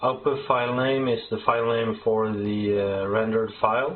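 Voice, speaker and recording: Over light background noise, a man with a medium-pitched voice speaks in a Norwegian accent with monotone, flat intonation. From Norway. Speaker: software developer; software tutorial maker. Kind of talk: tutorial. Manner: halting. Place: home room.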